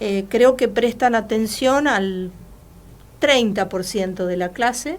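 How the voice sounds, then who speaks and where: A woman talks fairly slowly in a fairly high voice with ordinary pitch variation. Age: 60s. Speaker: journalist and university teacher. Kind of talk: interview. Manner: hesitant, many fillers.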